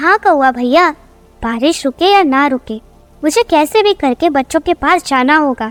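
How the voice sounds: At a moderate pace, a female-sounding voice performs a cartoonish character voice pitched high for a woman.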